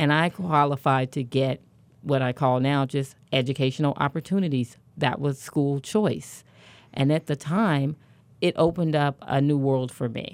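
Her very deep, low voice moves at a moderate pace, and this woman shows ordinary pitch variation. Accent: Midwestern US. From Kansas City, Kansas. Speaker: education advocate and event organizer. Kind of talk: radio interview with personal testimony. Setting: radio studio.

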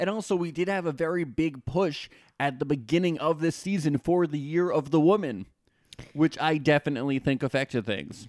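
A man with a normal speaking voice and an American accent talks fairly quickly at a fairly high pitch with ordinary pitch variation, in a very clean, dry, close recording with no echo and a silent background. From New Jersey. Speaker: celebrity podcast co-host. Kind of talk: casual chat.

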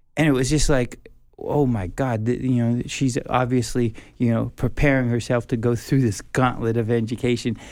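A man with an American accent speaks at a medium pitch in an ordinary speaking voice, his loudness very even and his intonation fairly even, on a very clean recording with a silent background. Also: moderate pace. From United States. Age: 50s. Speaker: professor. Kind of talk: interview.

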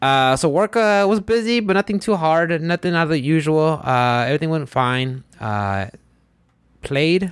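Speaking with a Spanish accent, a man talks at a moderate pace in a fairly high voice. His pitch swings very widely while his loudness stays very even. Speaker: podcast host. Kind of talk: casual chat. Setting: studio.

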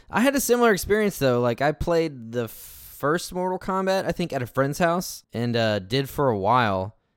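Through a very clean recording with a silent background, a man speaks at a moderate pace in a fairly high voice with very wide pitch swings. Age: 30s. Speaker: podcast host. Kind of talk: casual chat. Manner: halting, many false starts.

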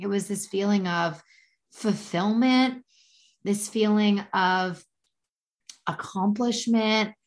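Somewhat breathy, a woman speaks at medium pitch. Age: 20s. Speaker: life coach. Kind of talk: casual chat.

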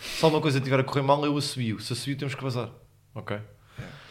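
A man is talking. His pitch is medium. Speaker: podcast co-host, comedian. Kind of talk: casual chat. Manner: animated.

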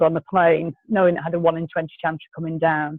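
A woman's fairly low voice at a moderate pace, with an English accent. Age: 40s. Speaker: climate activist. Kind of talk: interview.

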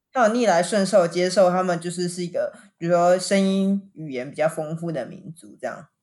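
A woman's fairly low, ordinary speaking voice at a moderate pace, with ordinary pitch variation, big swings in loudness and hardly any pauses. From Taiwan. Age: young. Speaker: podcast host. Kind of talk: casual chat.

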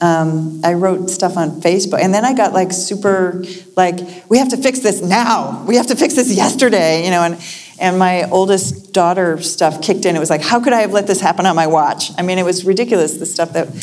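Noticeable background noise sits behind a woman with an American accent. Her medium-pitched voice moves at a fairly quick pace with ordinary pitch variation. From US Northeast, Lexington, Massachusetts. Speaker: poet. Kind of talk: conversation before a live audience.

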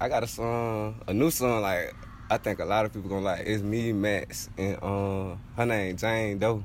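Fairly low-pitched man with an American accent, moderate pace, fairly even intonation, audible room echo. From South Carolina. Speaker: rapper. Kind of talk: interview. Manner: casual, laid-back.

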